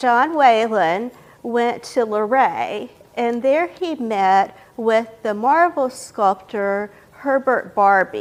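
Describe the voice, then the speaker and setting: Speaking at a very slow pace with an American accent, the voice carries lively intonation. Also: woman, fairly high pitch for a woman. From western North Carolina. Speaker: author and librarian. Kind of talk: public talk.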